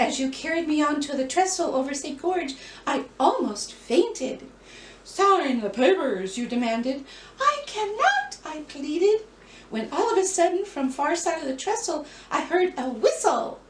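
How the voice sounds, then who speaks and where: A woman's put-on character voice, high-pitched with very wide pitch swings, at a moderate pace and with a slight echo. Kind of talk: stage melodrama acting. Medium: read story. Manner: breathless, wide-eyed, earnest.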